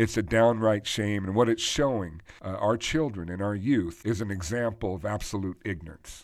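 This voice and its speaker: Fairly quick and fairly low in pitch, a man with a plain, everyday voice speaks with ordinary pitch variation in a very clean recording with a silent background. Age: 50s. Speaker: financial advisor and podcast host. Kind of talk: solo podcast commentary. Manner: conversational with frequent fillers.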